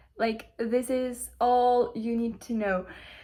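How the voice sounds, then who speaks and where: Speaking in a Ukrainian accent, a woman talks. Her pace is very slow. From Ukraine. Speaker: spiritual content creator. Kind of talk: casual motivational monologue. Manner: halting, many fillers.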